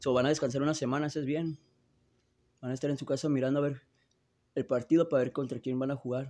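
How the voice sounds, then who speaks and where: A man's dark, mellow tone. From Tijuana / San Diego border region. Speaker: podcaster commenting on NFL games. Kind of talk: live sports commentary while watching games. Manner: animated.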